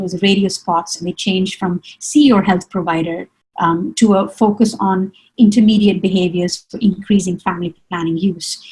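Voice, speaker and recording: The woman's voice is somewhat breathy. Her intonation stays fairly even. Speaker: webinar panelist on family planning programs. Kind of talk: webinar presentation. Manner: fast.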